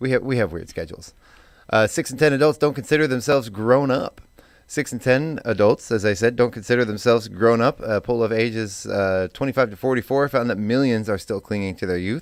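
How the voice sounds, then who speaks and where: A man speaks fairly quickly at a medium pitch, with ordinary pitch variation. It is a normal speaking voice. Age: 40s. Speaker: radio host. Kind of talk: casual chat.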